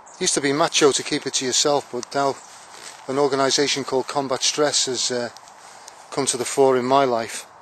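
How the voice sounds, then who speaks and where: A man of medium pitch talks at a fairly quick pace in a monotone, flat delivery, with noticeable background noise. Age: 60s. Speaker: army veteran on charity bike ride. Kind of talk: video diary. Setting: outdoors. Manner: halting.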